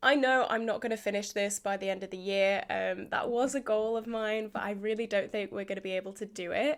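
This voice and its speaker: A woman speaks with a British accent at a moderate pace, her pitch fairly high with ordinary variation. The recording is very clean, with a silent background. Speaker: beauty vlogger. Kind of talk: casual product update vlog.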